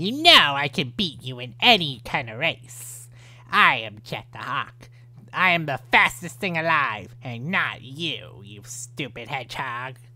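A put-on character voice sits at a low-to-middle pitch and moves at a fairly slow pace. The recording is very clean, with a silent background. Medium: voice reel. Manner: taunting, cocky.

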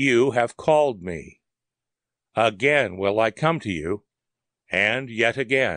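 A man puts on a raspy, robotic character voice at medium pitch. He goes at a fairly slow pace against a quiet background.

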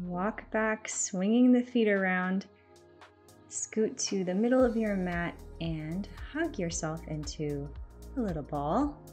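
A woman speaks very slowly, leaving long, frequent pauses. Faint music plays in the background. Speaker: fitness instructor. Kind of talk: workout instruction. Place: home room.

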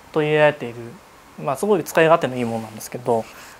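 A man speaks over light background noise. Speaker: seminar instructor, manual therapist. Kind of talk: seminar demonstration with participants. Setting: seminar room with audience. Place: meeting room.

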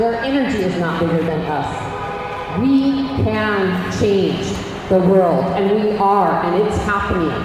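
The recording carries noticeable background noise along with strong room echo. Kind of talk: rally speech. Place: street. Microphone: camera far.

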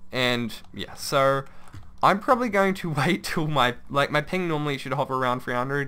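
At a moderate pace, a man speaks with a medium pitch, a bright, sharp tone, and ordinary pitch variation.

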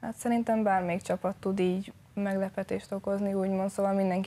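A woman talks at a very fast pace with monotone, flat intonation. Her tone is dark and mellow. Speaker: ice hockey player. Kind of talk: TV studio interview. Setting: studio. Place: studio. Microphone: lapel.

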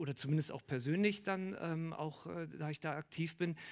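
A man's pitch varies in an ordinary way as he talks at a moderate speed. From Berlin. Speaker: artist; guest. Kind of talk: public Q&A discussion. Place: bar. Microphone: headset.

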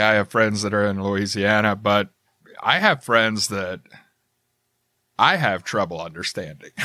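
A man with an American accent, fairly low in pitch, bright and sharp in tone, at a moderate pace on a very clean recording with a silent background. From Southern United States. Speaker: podcaster. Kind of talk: podcast conversation.

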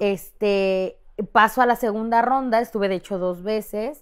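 Against a quiet background, a woman with a Mexican accent speaks at a fairly slow pace with fairly even intonation. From Mexico. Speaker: content creator. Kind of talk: casual chat. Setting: studio. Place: studio.

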